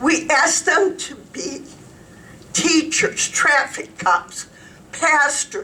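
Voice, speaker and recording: A woman speaks at a very slow pace. Her high-pitched voice is raised and projected. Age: 70s. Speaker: resident speaking at public comment. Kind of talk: public comment at county commissioners meeting.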